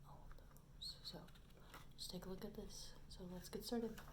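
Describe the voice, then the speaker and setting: A soft-spoken woman is heard over noticeable background noise. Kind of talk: ASMR soft-spoken rambling.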